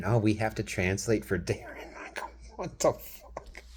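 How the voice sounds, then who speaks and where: A man's fairly low voice with vocal fry and an American accent, at a moderate pace. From Wisconsin. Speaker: vlogger. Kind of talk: casual monologue. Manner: animated.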